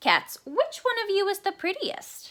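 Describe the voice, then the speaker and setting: The put-on character voice has lively intonation. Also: woman. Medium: read story.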